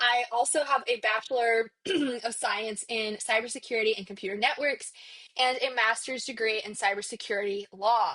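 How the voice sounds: A woman's put-on character voice, raspy and fairly high, with fairly even intonation at a moderate pace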